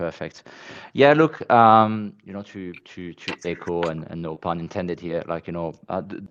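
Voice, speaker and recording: Speaking with a French accent, a man has a very deep, low pitch and ordinary pitch variation at a moderate pace. His loudness swings widely, against a quiet background. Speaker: marketing executive. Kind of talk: casual chat. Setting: online audio space.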